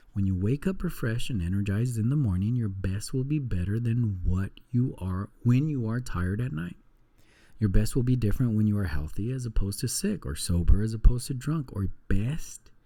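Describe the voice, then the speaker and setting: In a very clean recording with a silent background, a man with a medium-pitched, dark, mellow, somewhat breathy tone talks at a fairly quick pace with lively intonation. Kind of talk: book reading aloud. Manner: soft-spoken, calm.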